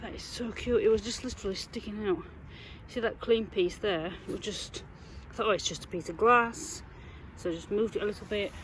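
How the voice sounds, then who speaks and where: The pace is fairly quick, yet long pauses come often. Pitch varies in an ordinary way. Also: woman, fairly high pitch for a woman. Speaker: metal detecting vlogger. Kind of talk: casual vlog narration. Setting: outdoors.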